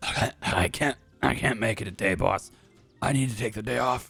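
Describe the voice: Using a raspy, put-on character voice, a man speaks at a medium pitch and moderate pace. His pitch varies in an ordinary way, with faint music in the background.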